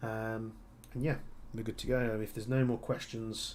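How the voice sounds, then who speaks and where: Amid audible room echo, a man with a strong Birmingham accent speaks in a flat monotone at a moderate pace. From Birmingham, England. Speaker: airsoft gunsmith and streamer. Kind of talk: live stream chat and Q&A. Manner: casual, many fillers and restarts.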